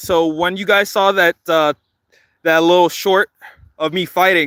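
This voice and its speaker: A man's high voice, bright and sharp, at a moderate pace, in a dry, close sound with no echo and a very clean recording over a silent background. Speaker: livestreamer, community patrol organizer. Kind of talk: livestream chat with viewers. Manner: casual, halting.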